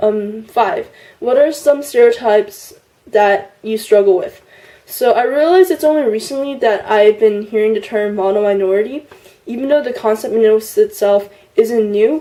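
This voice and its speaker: An unremarkable speaking voice from a woman, pitched fairly high, with ordinary pitch variation and a moderate pace. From US, immigrated from China at six. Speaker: YouTuber. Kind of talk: partly scripted vlog answering tag questions. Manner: casual with frequent fillers (um, like).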